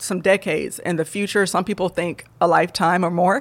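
Recorded very cleanly against a silent background, an unremarkable speaking voice with an American accent moves at a fairly quick pace. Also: woman. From Michigan, Southfield near Detroit. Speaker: physics doctoral student. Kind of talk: interview.

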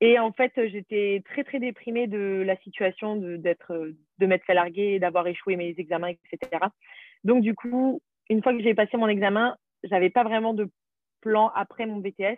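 A plain, everyday voice from a woman, medium in pitch, fairly slow, with ordinary pitch variation. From France, Paris region. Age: 20s. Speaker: former au pair, nanny. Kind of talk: interview.

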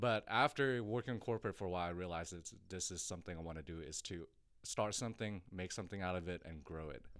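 A man with a Thai accent and a very deep, low voice talks at a very fast pace with ordinary pitch variation. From Thailand, moved to Texas at eleven. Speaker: fitness coach and gym owner. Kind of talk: interview.

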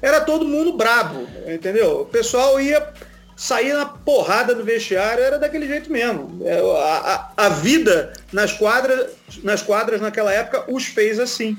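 His pitch is extremely high, with lively intonation. The man speaks at a fairly slow pace. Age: 30s. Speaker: sports TV commentator. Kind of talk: casual chat.

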